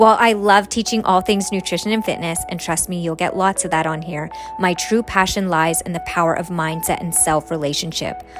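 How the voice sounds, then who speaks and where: Over music in the background, a woman at a medium pitch talks at a fairly quick pace with hardly any pauses and ordinary pitch variation. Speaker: podcast host and transformation coach. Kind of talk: podcast intro and interview. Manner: enthusiastic.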